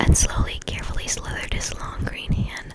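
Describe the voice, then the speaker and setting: A whisper comes through against noticeable background noise. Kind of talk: whispered ASMR book reading. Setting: home recording, storm outside. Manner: whispered, soft.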